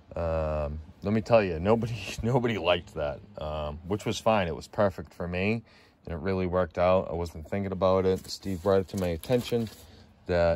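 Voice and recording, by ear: At a moderate pace, a man speaks in a low, slightly mellow voice with ordinary pitch variation.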